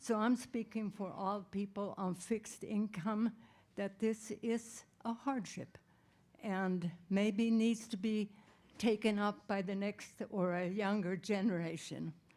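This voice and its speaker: At a very slow pace, a woman talks with medium pitch and fairly even intonation. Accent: American. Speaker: public commenter, retiree. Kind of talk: public comment at board meeting. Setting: school board meeting.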